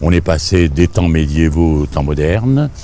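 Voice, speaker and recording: Music plays in the background. A man is speaking. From Tunisia, Monastir. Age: 80s+. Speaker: journalist and writer. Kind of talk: interview answer.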